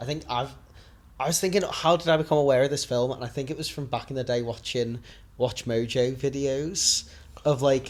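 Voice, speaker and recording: With a Liverpool accent, the speaker moves at a fairly quick pace with fairly even intonation on a very clean recording with a silent background. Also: man, medium pitch for a man. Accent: Scouse. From Liverpool, England. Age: 20s. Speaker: podcast co-host. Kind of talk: casual chat.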